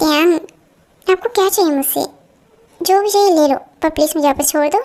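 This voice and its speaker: A woman's put-on character voice, extremely high in pitch, with ordinary pitch variation and a fairly quick pace. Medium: fan dub. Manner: pleading, soft.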